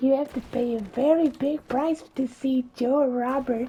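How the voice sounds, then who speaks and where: A put-on character voice, pitched high and delivered at a moderate pace. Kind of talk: comic overacting. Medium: solo performance. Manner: cackling, scheming.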